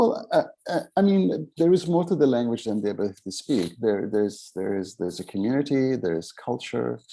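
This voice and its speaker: A man speaks at a medium pitch with an Arabic accent and a dark, mellow tone. The recording is very clean, with a silent background. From Middle East (born in Aden, Yemen; raised in Beirut and Cairo). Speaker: memoirist and author. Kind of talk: literary festival conversation. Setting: literary festival event. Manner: halting, many fillers and restarts.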